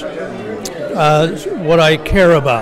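A high-pitched man with an American accent speaks over crowd noise in the background. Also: dry sound with no echo. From Connecticut (Hartford area); Connecticut. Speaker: civil rights activist. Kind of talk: interview. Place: hall.

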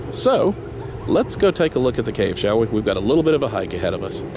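A moderate pace in a dry sound with no echo, crowd noise in the background. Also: man. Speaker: vlogger filming a trip. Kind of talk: casual vlog chat. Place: waterside. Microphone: phone near.

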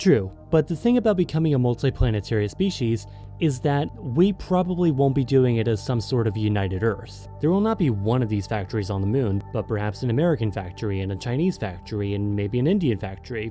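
Over music in the background, a man speaks at a fairly quick pace with lively intonation and hardly any pauses, the sound dry with no echo. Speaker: guest. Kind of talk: commentary.

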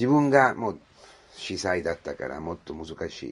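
A man speaks with an Italian accent. His pitch is medium. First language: Italian (speaking Japanese). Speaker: priest. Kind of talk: homily. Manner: halting, with many fillers.

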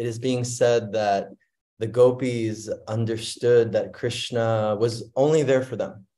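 The man speaks at a very slow pace. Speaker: speaker. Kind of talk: sermon. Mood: warm, devotional. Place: home room. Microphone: video call.

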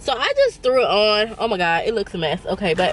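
The sound is dry with no echo, and the speech moves at a moderate pace. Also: woman. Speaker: vlogger. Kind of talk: casual vlog chat. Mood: playful, laughing. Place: car. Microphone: phone near.

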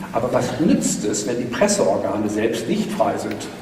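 A man's pitch swings very widely as he talks. There is noticeable background noise and audible room echo. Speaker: economics lecturer and speaker. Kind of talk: lecture. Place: hall.

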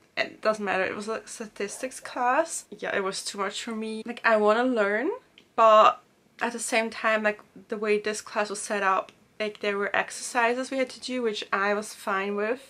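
Bright, sharp tone with fairly even intonation at a moderate pace. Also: woman. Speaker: student vlogger. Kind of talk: casual vlog chat. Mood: reflective, slightly stressed recollection. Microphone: camera far.

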